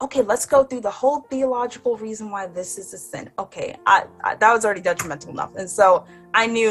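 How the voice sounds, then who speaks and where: A woman's fairly high-pitched, very fast delivery with hardly any pauses, lively intonation and big swings in loudness, over music in the background. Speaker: church member giving testimony. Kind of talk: testimony.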